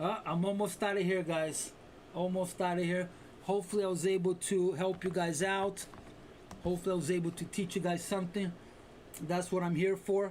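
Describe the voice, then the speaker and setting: At a fairly quick pace but with long, frequent pauses, a man talks in a high pitch, his intonation monotone and flat and his loudness very even. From Brazil. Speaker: day trading streamer. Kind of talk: live trading stream commentary. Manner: loud, expressive.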